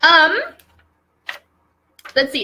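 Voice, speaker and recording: A woman speaks in a raised, projected voice with a bright, sharp tone. She keeps a moderate pace. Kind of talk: interviewer, casual talk to camera.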